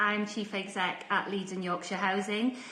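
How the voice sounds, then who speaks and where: The speaker goes at a moderate pace, with audible room echo and noticeable background noise. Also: woman. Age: 40s. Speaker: housing association chief executive. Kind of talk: personal career talk. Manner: casual, conversational with fillers.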